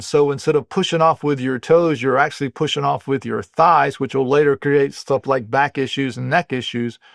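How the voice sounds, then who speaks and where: An American man talks at a moderate pace in an unremarkable speaking voice, pitched fairly high for a man. His pitch varies in an ordinary way, and the sound is dry and close with no echo. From US South, North Carolina (Wilmington). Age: 60s. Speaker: muscle repair and aging expert. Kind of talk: interview, explaining.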